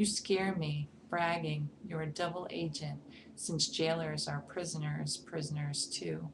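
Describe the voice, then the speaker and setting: Fairly slow speech from a woman with an American accent, over noticeable background noise. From New York, Brooklyn. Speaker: poet reading a poem. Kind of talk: poetry reading. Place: home room. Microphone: webcam.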